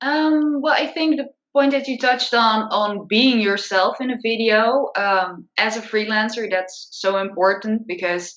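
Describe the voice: A woman speaks at a fairly slow pace in a fairly high, fairly bright voice with ordinary pitch variation, and audible room echo surrounds her.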